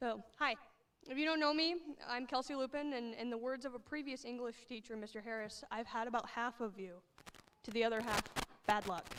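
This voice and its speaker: Speaking at a fairly quick pace, a woman has a shaky, high voice. Her pitch varies in an ordinary way. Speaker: high school English teacher. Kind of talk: graduation speech. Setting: stage with audience. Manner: shaky voice.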